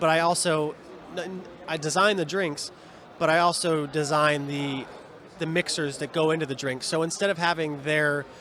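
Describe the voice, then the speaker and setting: Noticeable background noise runs under a man speaking in an American accent. He talks fairly quickly at a fairly high pitch with fairly even intonation. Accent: Seattle with slight New York. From Seattle, US Pacific Northwest. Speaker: bar owner and bartender. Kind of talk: interview. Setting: live event. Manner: fast.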